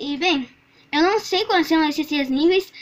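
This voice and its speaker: A woman's extremely high-pitched voice with ordinary pitch variation. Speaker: car channel host. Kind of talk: casual vlog commentary. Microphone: phone near.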